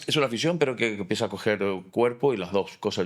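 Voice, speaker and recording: A man with a fairly low voice rattles along at a very fast pace, his intonation lively. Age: 50s. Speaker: architect and fallas artist. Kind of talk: interview conversation.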